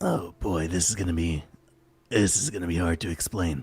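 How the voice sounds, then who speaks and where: Very clean audio with a silent background holds a raspy, put-on character voice. The pace is moderate. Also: man, very deep, low pitch for a man. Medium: game stream. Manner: stammering, casual.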